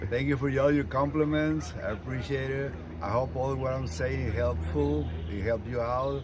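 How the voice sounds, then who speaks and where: A man speaks in a fairly low voice with very wide pitch swings. The recording carries audible room echo and noticeable background noise. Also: moderate pace. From Mexico, rural ranch town. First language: Spanish. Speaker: retired sanitation worker and union shop steward. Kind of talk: interview. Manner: halting.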